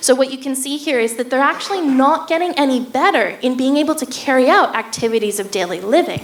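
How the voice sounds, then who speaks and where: Over noticeable background noise and audible room echo, a woman with an American accent talks fairly quickly at a high pitch with lively intonation. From United States. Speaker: neuroscience researcher. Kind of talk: public lecture.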